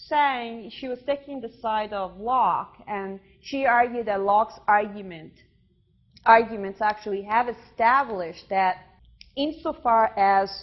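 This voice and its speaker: A woman with a non-native accent, fairly high in pitch, at a fairly slow pace. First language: not English. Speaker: visiting philosopher lecturer. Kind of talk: lecture. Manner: halting, many fillers.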